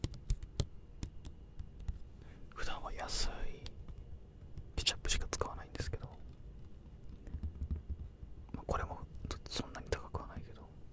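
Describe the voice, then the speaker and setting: A soft-spoken man whispers at a very slow pace. His pauses are long and frequent. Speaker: ASMR-style creator. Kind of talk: soft-spoken casual product chat. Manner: soft close-mic ASMR whisper. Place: home room. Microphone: studio mic.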